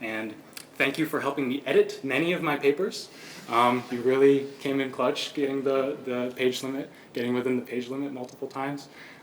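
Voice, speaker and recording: Through audible room echo and noticeable background noise, a man talks at a fairly quick pace with fairly even intonation. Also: medium pitch for a man. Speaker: PhD candidate. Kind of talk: thesis defense presentation. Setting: lecture room with audience. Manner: fast.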